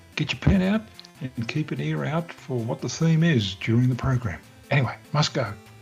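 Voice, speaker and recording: A man talks at a fairly quick pace with lively intonation while music plays in the background. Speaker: podcast host. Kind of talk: podcast promo read.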